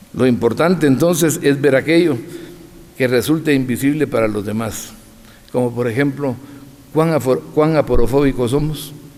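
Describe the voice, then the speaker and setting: A man with a fairly high pitch and ordinary pitch variation pauses long and often. The room echoes audibly, and background noise is noticeable. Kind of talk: lecture. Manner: fast.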